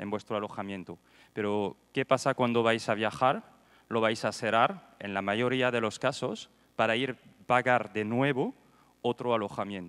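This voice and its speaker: A man speaks at a fairly slow pace in a medium pitch with fairly even intonation. The recording is very clean, with a silent background. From France. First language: French (speaking Spanish). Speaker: startup co-founder. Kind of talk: panel talk. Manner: hesitant.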